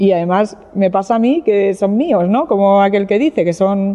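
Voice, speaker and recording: This woman talks at a moderate pace and a medium pitch, with ordinary pitch variation. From Catalonia, Spain (Barcelona). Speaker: winemaker. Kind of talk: wine tasting presentation. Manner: halting, frequent fillers and repetitions.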